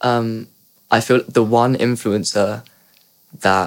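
A man's medium-pitched voice in a southern English accent, fairly slow and monotone. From Surrey, southern England. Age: young. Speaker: singer-songwriter. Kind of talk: casual chat. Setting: studio.

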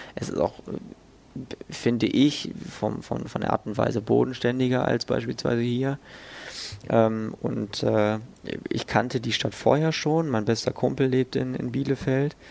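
There is noticeable background noise as a man speaks fairly slowly at a medium pitch, with ordinary pitch variation and long, frequent pauses. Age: 20s. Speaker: student and podcast weather presenter. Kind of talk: interview testimony. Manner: halting, many fillers.

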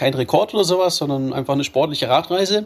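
A man with an unremarkable speaking voice, fairly high-pitched, with ordinary pitch variation. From Baden-Württemberg, Germany. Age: 30s. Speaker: adventurer and ultra-endurance cyclist. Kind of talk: interview.

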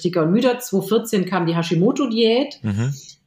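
Quick-paced and lively in intonation, a woman with a medium pitch has an unremarkable speaking voice. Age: 40s. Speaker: author and journalist. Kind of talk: podcast interview.

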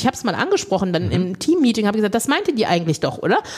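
The speaker is a woman. Her tone is dark and mellow. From Lower Rhine, Germany. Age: 40s. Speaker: body positivity coach and beauty pageant organiser. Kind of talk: casual chat.

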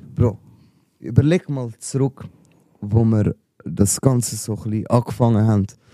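A man with a Swiss accent speaks fairly slowly at a medium pitch in a dark, mellow tone, leaving long, frequent pauses. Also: ordinary pitch variation. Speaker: rapper and podcast host. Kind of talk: casual chat.

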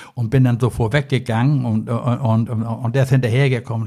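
A man's medium-pitched, somewhat breathy voice with a dark, mellow tone and flat, monotone intonation. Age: old. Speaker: angling expert. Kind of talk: casual chat. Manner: rambling, filler-heavy.

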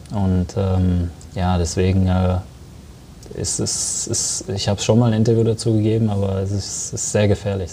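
A man talks in a fairly low pitch while noticeable background noise is present. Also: fairly even intonation, moderate pace. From Germany, Sauerland (Arnsberg). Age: 20s. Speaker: professional footballer. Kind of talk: interview.

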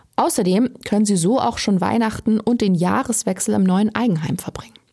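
A woman's somewhat breathy, dark, mellow voice at medium pitch, with ordinary pitch variation and a moderate pace. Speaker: true crime podcast host. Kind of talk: scripted narration.

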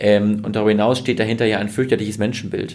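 A man speaks with a fairly low pitch. His delivery is flat and monotone. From Germany, Münsterland (Westphalia). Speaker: fintech founder. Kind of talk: interview. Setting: company office. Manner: hesitant with many filler sounds.

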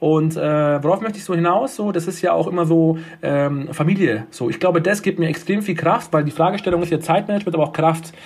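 High male voice at a fairly quick pace with ordinary pitch variation. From Munich, Bavaria (Turkish-German family). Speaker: nursing home manager. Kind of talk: interview.

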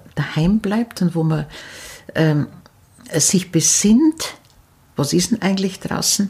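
Over noticeable background noise, a woman with an Upper Bavarian accent speaks very slowly at a fairly low pitch with lively intonation. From Upper Bavaria, near Munich. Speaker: storyteller and folklore expert. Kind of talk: interview. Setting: at the guest's home over tea.

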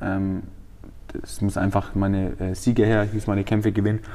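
A man's fairly low, dark, mellow voice at a moderate pace. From Franconia, Germany (Feucht near Nuremberg). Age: 20s. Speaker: MMA fighter and trainer. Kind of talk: interview. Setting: gym.

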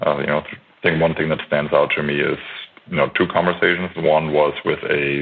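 Noticeable background noise sits behind the speech. Over it, a man talks at a fairly quick pace. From Germany, Franconia. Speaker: former pro basketball player. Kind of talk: podcast interview.

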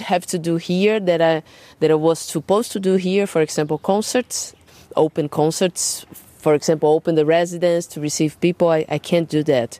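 In a Portuguese accent, a woman speaks at a moderate pace with a fairly low pitch and a dark, mellow tone. The recording is very clean and dry, close-sounding, with a silent background and no echo. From Brazil, São Paulo. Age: 30s. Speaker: jazz drummer and singer. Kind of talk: casual interview. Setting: garden.

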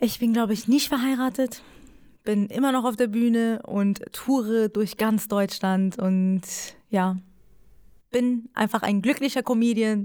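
A woman with a Persian accent speaks at a fairly slow pace with long, frequent pauses, her fairly high voice carrying a dark, mellow tone. Her intonation is fairly even and her loudness very even, on a very clean recording with a silent background. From Iran. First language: Persian (speaking German). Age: 20s. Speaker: stand-up comedian. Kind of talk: casual interview.

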